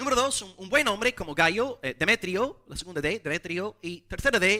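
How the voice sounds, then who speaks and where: A man's raised, projected voice, high in pitch, with a bright, sharp tone and lively intonation. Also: moderate pace, dry, close sound with no echo. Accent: English. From English-speaking foreign country. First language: English (speaking Spanish). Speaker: pastor. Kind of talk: sermon.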